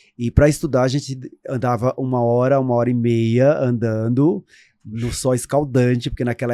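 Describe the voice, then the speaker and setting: With a northeastern Brazilian accent, this dark, mellow voice keeps a fairly even intonation on a very clean recording with a silent background. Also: man. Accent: Northeastern Brazilian (kept deliberately). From Brazil, Northeast (rural Paraíba, near Remígio). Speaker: image consultant (visagism expert). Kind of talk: interview, life story.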